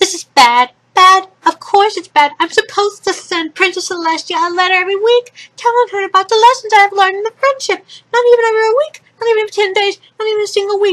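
An extremely high-pitched put-on character voice rattles along at a fairly quick pace. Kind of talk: dramatic, panicked. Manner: anxious, fretful.

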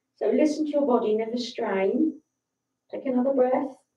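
A woman speaks in a high voice with a calm, soothing tone. Some room echo can be heard. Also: quiet background. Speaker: yoga instructor. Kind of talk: guided yoga class, calm step-by-step instructions. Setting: livestream to online audience. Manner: calm, slow, soothing cueing; slightly nervous, friendly, chatty. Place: home room. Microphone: camera far.

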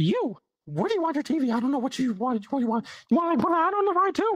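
This put-on character voice is high-pitched and moves at a fairly quick pace. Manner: scheming, casual.

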